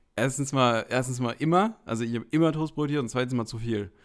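A man with a plain, everyday voice, medium in pitch with ordinary pitch variation and a fairly quick pace, in a very clean recording with a silent background. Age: 30s. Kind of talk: casual chat.

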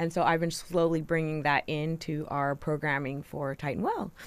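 The recording is very clean, with a silent background. A woman with an unremarkable speaking voice talks at a moderate pace with fairly even intonation. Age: 50s. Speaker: university health educator and podcast host. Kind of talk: casual chat.

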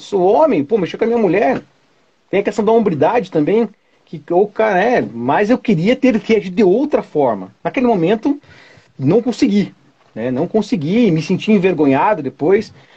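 Very wide pitch swings mark a man's speech, which sits at a high pitch. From Curitiba, Paraná, southern Brazil. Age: 40s. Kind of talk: casual chat.

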